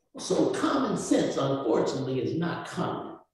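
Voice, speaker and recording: A man talks fairly slowly, and audible room echo hangs around his words. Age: 60s. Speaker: community speaker. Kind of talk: panel discussion. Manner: animated.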